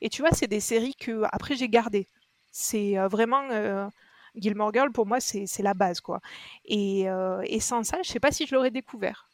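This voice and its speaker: At a fairly slow pace, a woman talks in a plain, everyday voice, fairly high in pitch with ordinary variation. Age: 30s. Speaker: podcast listener. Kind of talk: casual chat.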